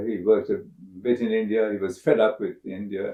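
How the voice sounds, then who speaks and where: This man speaks at a moderate pace with a Sri Lankan accent. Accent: Sri Lankan English, British-educated. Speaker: astrobiologist. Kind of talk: interview. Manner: halting, frequent uh fillers.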